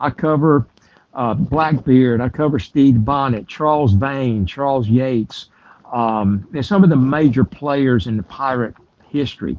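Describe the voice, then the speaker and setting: With a South Carolina accent, a man talks at a fairly slow pace. His pitch is medium, with ordinary variation. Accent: South Carolina Southern US. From US South, South Carolina. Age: 70s. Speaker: tour guide. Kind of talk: interview. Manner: halting, with many fillers.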